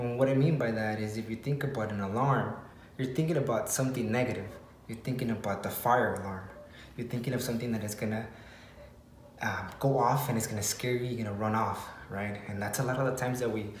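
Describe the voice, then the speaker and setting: Quiet and very fast, a man speaks at a medium pitch with fairly even intonation, audible room echo and noticeable background noise. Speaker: fitness coach and motivational vlogger. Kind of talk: motivational vlog talk. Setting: garage at home.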